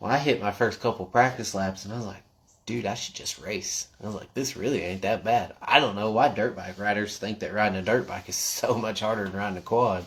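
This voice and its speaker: Speaking at a fairly quick pace with an American accent, a man keeps a fairly low pitch and fairly even intonation. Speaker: quad racer and livestream host. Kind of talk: casual livestream chat. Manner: loud.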